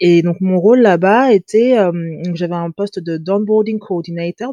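Dry and close with no echo, a woman's dark, mellow voice moves at a fairly slow pace with fairly even intonation. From France. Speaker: fashion brand founder. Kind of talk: interview. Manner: hesitant.

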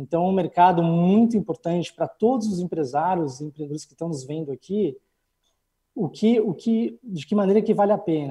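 In a dry, close recording with no echo, a man with a high pitch and a dark, mellow tone uses lively intonation and big swings in loudness. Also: moderate pace. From Brazil, São Paulo. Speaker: business consultant, entrepreneur. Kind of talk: interview at a launch event.

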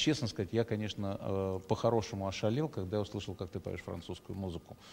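The background is silent, and the recording is very clean. The words come rather briskly, with fairly level intonation. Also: man. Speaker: theatre director and interviewer. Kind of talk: live interview chat with friendly banter. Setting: live stream. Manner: talkative, warm, informal, with filler sounds.

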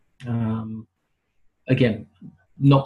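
A man with a British accent talks at a fairly slow pace in a somewhat breathy voice with a dark, mellow tone. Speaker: wrestling podcast co-host. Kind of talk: casual chat.

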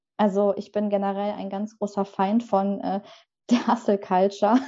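A woman with an ordinary speaking voice talks at a fairly slow pace and a fairly high pitch. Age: 20s. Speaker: book designer and author. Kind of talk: casual interview.

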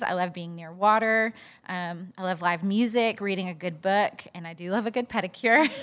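Moderately paced, a woman speaks with a medium pitch and ordinary pitch variation. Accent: Southern US. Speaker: podcast co-host. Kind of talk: casual chat. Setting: studio.

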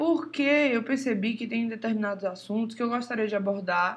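Fairly even intonation marks a woman's speech at a moderate speed. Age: 20s. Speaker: podcast host, drummer and music teacher. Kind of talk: casual monologue.

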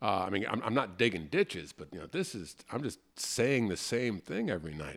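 Speaking at a fairly quick pace with lively intonation, a man with a fairly low pitch and an unremarkable speaking voice shows big swings in loudness. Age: 50s. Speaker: improv comedian and podcast host. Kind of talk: casual chat.

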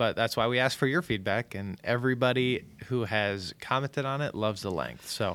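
Fairly quick speech in a normal speaking voice, with ordinary pitch variation. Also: man, medium pitch for a man. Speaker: podcast producer and co-founder. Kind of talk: casual chat.

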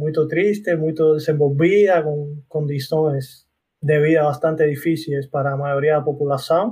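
A man with a Cuban accent speaks at a fairly high pitch and a fairly slow pace, his dark, mellow tone somewhat breathy and his intonation fairly even. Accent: Cuban Spanish accent, noticeable. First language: Spanish (speaking Portuguese). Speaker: university professor. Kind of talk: casual chat.

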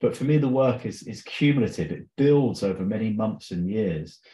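A man's medium-pitched, somewhat breathy voice with a dark, mellow tone and lively intonation. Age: 40s. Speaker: podcast host and healing practitioner. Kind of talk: solo monologue, unscripted. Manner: casual, rambling with fillers.

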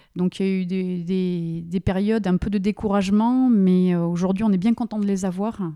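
With hardly any pauses, a woman speaks at a moderate pace and medium pitch. Her tone is dark and mellow, her intonation fairly even. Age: 40s. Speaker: business owner. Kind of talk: interview. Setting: company premises.

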